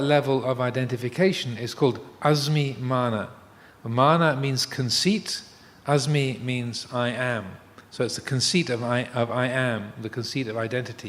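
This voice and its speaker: Medium-pitched male voice with an English accent, ordinary pitch variation and a moderate pace. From England. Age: 60s. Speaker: Buddhist monk. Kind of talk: dharma talk. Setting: live streamed talk. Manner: halting, many fillers and repetitions.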